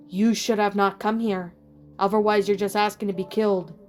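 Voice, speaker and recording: A female-sounding voice does a put-on character with a Russian accent, at medium pitch. The intonation stays monotone and flat, with faint music in the background. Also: fairly quick pace. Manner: threatening.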